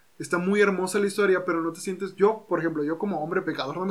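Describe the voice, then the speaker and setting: Over noticeable background noise, a man with a high pitch talks at a very fast pace with fairly even intonation. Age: 20s. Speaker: psychologist and podcast host. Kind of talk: casual chat. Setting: home recording.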